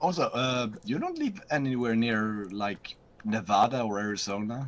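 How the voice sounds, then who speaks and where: Over noticeable background noise, a man with a Swedish accent speaks at medium pitch with ordinary pitch variation. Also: moderate pace. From Sweden. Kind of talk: casual chat on a live stream.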